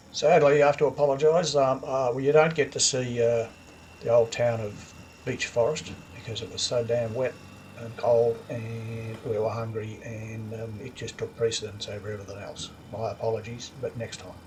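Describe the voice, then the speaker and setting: Over background music, a man with an Australian accent talks at a moderate pace in a medium-pitched voice, his intonation fairly even and his loudness swinging widely. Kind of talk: casual travel vlog narration.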